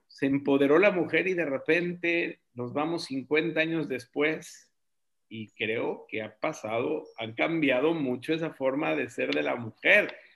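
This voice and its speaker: Delivered very slowly, the voice shows ordinary pitch variation. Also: man, fairly high pitch for a man. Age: 50s. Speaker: real estate forum host. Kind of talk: live video forum chat. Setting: video call. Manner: animated.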